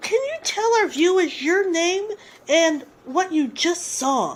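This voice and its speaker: A woman's put-on character voice, extremely high in pitch, with lively intonation at a fairly slow pace. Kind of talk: on-scene news report.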